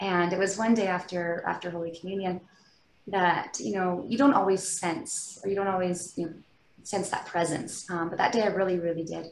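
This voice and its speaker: Delivered at a fairly quick pace, this is an ordinary speaking voice. It carries a Canadian accent. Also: woman, medium pitch for a woman, ordinary pitch variation. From British Columbia, Canada. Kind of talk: interview, personal faith testimony.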